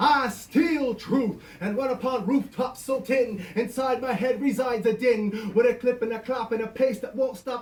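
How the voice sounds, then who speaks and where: Fairly slow pace with noticeable background noise. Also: man. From Canada. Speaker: performance poet. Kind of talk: spoken word poetry performance.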